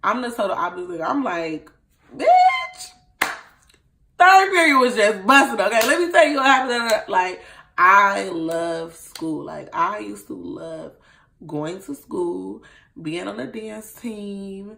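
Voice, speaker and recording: Loud and animated, a woman with an American accent speaks at a fairly slow pace. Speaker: vlogger. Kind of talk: casual vlog talk.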